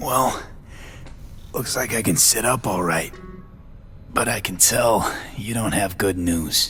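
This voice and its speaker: A man's raspy, put-on character voice, fairly low in pitch, at a fairly slow pace with long, frequent pauses, over clear background music. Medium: machinima.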